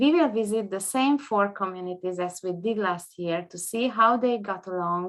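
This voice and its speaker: In a quiet background, a woman with a Hungarian accent speaks fairly slowly. Her pitch is medium, with ordinary variation. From Hungary. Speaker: international judge and tourism expert. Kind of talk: prepared presentation. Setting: video conference. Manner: formal.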